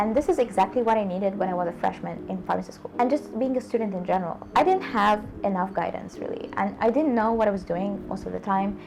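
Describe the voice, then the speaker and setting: In a non-native accent, a woman talks very fast with hardly any pauses. Noticeable background noise runs beneath her. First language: not English. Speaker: student-life YouTuber, pharmacy graduate. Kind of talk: casual vlog talk to camera.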